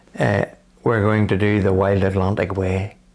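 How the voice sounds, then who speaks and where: A man with a Northern Irish accent talks at a fairly slow pace. His pitch is fairly low. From Northern Ireland, County Armagh. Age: 60s. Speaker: cancer patient. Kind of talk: interview.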